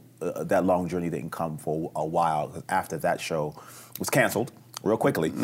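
A man is speaking. He talks with a New York accent. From New York City, the Bronx. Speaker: actor. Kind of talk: casual interview. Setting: hotel, filmed for television.

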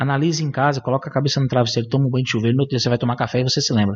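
Against a quiet background, a man with fairly high pitch talks at a very fast pace, sounding somewhat breathy. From Brazil, São Paulo. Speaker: gun shop and shooting club owner. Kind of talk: interview.

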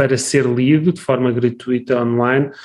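Here is a man with an ordinary speaking voice. He talks at a medium pitch and a moderate pace. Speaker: podcast host, academic. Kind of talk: interview conversation.

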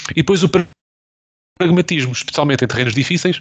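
A man speaks with lively intonation. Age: 20s. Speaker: football podcast host. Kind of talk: casual chat.

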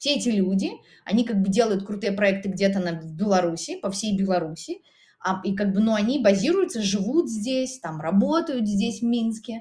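Moderately paced speech carries a dark, mellow tone, lively intonation and a somewhat breathy quality. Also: woman, medium pitch for a woman. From Belarus, Minsk region. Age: 30s. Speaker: photographer and artist. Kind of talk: casual chat. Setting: in an apartment. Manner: halting.

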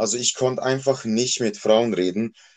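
Against a quiet background, a man uses an ordinary speaking voice at a medium pitch and moderate pace. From Switzerland, Basel area. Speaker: male escort. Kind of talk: casual interview.

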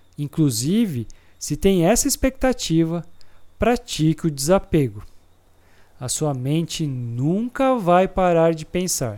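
The voice has a dark, mellow tone, a calm, gentle manner and very wide pitch swings. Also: man. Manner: calm, slow, gentle and reassuring, with an even, soothing instructional tone; clear, deliberate and measured, pausing between points as if guiding a listener.

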